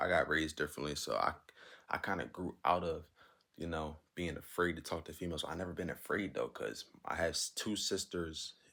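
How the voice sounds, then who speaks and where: A man speaks at a moderate pace. His voice is quiet. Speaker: advice vlogger. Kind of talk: casual monologue.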